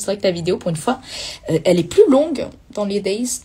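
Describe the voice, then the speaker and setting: Over noticeable background noise, a woman at medium pitch speaks at a fairly quick pace with lively intonation. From southern France, Toulouse. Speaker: singer in a cover group. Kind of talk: casual chat. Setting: livestream.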